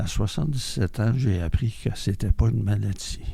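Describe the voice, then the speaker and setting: A man speaks at a moderate pace and a fairly low pitch. His voice is somewhat breathy, with a dark, mellow tone. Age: 70s. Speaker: member of a mental health community group. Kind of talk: testimony.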